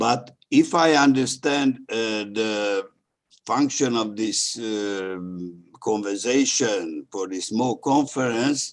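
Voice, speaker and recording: A man with a Hungarian accent and medium pitch speaks at a very slow pace with ordinary pitch variation. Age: old. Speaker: historian, panel speaker. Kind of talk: academic panel talk. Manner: halting.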